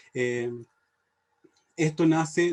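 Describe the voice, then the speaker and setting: A man's voice with a dark, mellow tone. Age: 20s. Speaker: English teacher and youth leadership director. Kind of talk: panel presentation. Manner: halting, many filler sounds.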